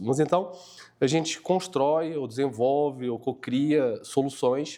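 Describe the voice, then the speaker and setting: Recorded very cleanly against a silent background, a man with a fairly high pitch speaks in a dark, mellow tone with ordinary pitch variation. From Portugal. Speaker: tech company co-founder. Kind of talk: podcast interview. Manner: hesitant, many fillers.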